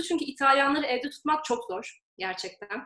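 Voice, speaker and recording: Her voice is high-pitched. The woman keeps a moderate pace. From Turkey, Izmir. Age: 20s. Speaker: graduate student. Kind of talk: casual interview.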